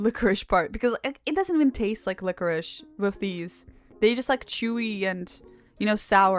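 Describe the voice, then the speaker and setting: Over music in the background, a woman with a non-native accent speaks in a fairly high pitch with ordinary pitch variation. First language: not English. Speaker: vtuber streamer learning Live2D rigging. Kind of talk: casual live-stream chat reading viewer comments. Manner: halting, repeats words.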